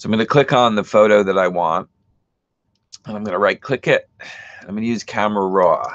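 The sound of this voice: Using a raspy put-on character voice, a man speaks at a fairly quick pace with fairly low pitch and fairly even intonation.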